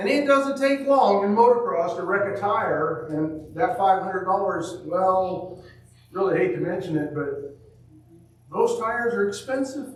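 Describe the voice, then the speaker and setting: Loud and with lively intonation, a man speaks at a high pitch amid audible room echo and noticeable background noise. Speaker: preacher. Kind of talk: sermon.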